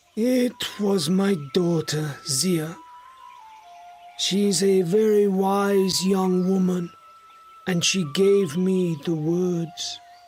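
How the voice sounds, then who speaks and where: A put-on character voice in a middle pitch moves at a very slow pace. Faint music plays in the background. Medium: read story. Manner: humble, respectful.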